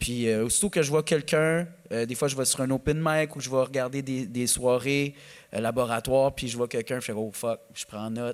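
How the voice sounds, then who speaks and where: A man with a Quebec accent speaks at a moderate pace in a very clean recording with a silent background. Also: medium pitch for a man, ordinary pitch variation. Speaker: comedian. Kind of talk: podcast interview. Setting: live stage with audience. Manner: animated.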